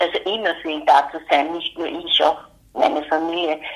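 This woman talks at a moderate pace. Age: 60s. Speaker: retired pediatric nurse and mother of a son with mental illness. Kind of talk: interview, personal testimony.

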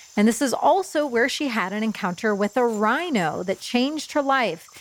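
A woman speaks at a moderate pace with lively intonation. There is noticeable background noise. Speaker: shaman and podcast host. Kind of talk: casual interview conversation.

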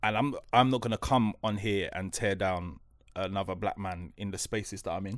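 This man, with a South London accent and a fairly low pitch, talks at a moderate pace with ordinary pitch variation on a very clean recording against a silent background. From South London, New Cross. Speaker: broadcaster and author. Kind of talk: casual chat.

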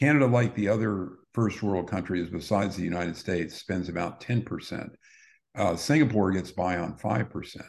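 At a moderate pace, a man with an American accent talks at a fairly low pitch with ordinary pitch variation. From US. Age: 60s. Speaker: retired cosmetic surgeon and author. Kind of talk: interview. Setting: call. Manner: halting, frequent fillers and repeats.

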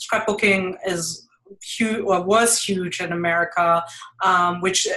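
A woman's medium-pitched voice with a German accent, at a fairly slow pace. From Germany (Düsseldorf). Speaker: mixed-media artist. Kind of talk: interview. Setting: live video stream. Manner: halting, many fillers.

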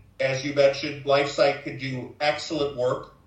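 Through audible room echo comes a man's fairly high pitch with a Chicago accent. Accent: Chicago American. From US Midwest, Chicago south side. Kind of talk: interview.

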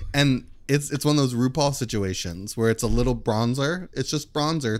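Delivered at a moderate pace with hardly any pauses, this is an unremarkable speaking voice with ordinary pitch variation. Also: man. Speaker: podcast guest. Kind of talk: casual comedic chat.

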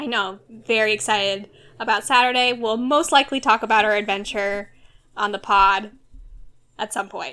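A woman with an American accent, fairly high pitch, a bright, sharp tone, fairly even intonation, and a moderate pace. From Orange County, California. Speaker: podcast co-host. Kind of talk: casual chat.

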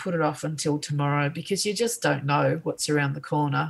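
Somewhat breathy, a woman speaks with an Australian accent. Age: 50s. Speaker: artist. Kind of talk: casual chat.

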